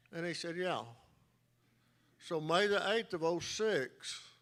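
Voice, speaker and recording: A man with a Texan accent talks at a very slow pace. His pitch is fairly high, with ordinary pitch variation. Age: 60s. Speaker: auto shop owner, award recipient. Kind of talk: acceptance speech.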